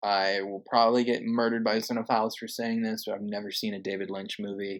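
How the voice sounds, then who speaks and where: A man's medium-pitched, normal speaking voice at a moderate pace. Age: 20s. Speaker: podcast host, film reviewer. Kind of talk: casual chat.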